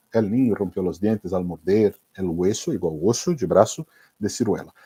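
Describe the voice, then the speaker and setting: A man's dark, mellow tone in a Minas Gerais accent, fairly low in pitch, with ordinary pitch variation and a moderate pace. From Brazil, Minas Gerais. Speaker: Spanish teacher for exam prep. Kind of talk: online class / live lecture. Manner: casual, conversational.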